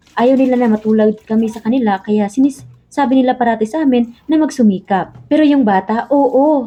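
A woman speaks at a high pitch and a fairly quick pace, hardly pausing at all. Her pitch varies in an ordinary way, with music in the background. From Philippines. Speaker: overseas Filipino worker vlogger. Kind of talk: casual vlog monologue.

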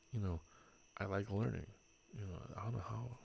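In a very clean recording with a silent background, a man talks at a fairly low pitch, somewhat breathy, with ordinary pitch variation. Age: 40s. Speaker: streamer hosting a drinking game in VR. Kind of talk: casual chat. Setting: VR game voice chat.

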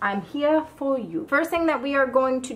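A woman talks over light background noise. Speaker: home canning vlogger. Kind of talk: casual tutorial vlog chat.

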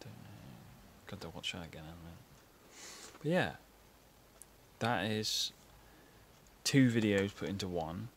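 A man with a low pitch and a slightly husky edge speaks at a fairly slow pace, using lively intonation and long, frequent pauses.

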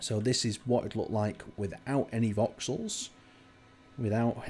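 A man at medium pitch, somewhat breathy with a dark, mellow tone, fairly even intonation and a fairly slow pace on a very clean recording with a silent background. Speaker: gaming YouTuber and server host. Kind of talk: video tour commentary. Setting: screen recording voiceover. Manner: casual, conversational.

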